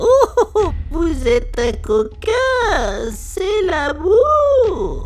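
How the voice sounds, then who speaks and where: With noticeable background noise, a female-sounding cartoonish character voice at an extremely high pitch speaks at a very slow pace. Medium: puppet. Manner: coy, excitable.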